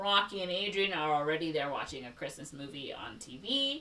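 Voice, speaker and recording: Behind the speech there is noticeable background noise. A woman talks at a fairly quick pace. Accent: Chicago. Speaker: podcast host. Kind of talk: reading plot summary in casual podcast; casual chat.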